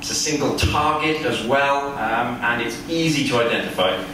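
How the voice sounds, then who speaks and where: A man's voice with strong room echo and noticeable background noise. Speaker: keynote speaker. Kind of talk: lecture. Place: hall. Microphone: camera far.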